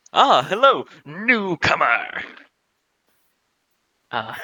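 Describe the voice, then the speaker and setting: A man's put-on character voice, pitched high for a man. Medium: actual play. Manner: showy, salesman patter.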